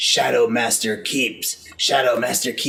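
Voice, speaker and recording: A man puts on a character voice at a medium pitch. He speaks at a moderate pace. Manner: eerie.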